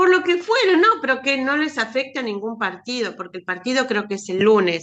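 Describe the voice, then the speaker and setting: The speaker, with an Argentine accent, makes very wide pitch swings. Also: woman. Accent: Rioplatense Argentine Spanish. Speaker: writing workshop participant. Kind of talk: casual chat.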